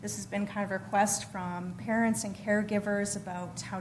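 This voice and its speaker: The room echo is audible around a woman's voice. She talks at a fairly quick pace and a medium pitch. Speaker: community organization representative. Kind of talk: presentation to council. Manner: fast.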